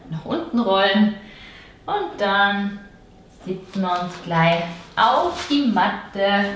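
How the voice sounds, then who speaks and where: A woman talks at a very slow pace. Audible room echo and light background noise surround her. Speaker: fitness instructor. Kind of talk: workout instruction. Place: home room. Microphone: camera far.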